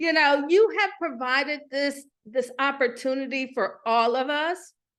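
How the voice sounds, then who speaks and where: An energetic, bright and sharp tone with lively intonation against a quiet background. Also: woman. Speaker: motivational speaker and author. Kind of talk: summit speech.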